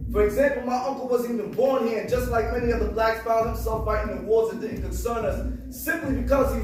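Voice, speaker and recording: Noticeable background noise is present. Over it, a man talks at a very fast pace. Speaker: spoken word artist. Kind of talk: spoken word poetry performance.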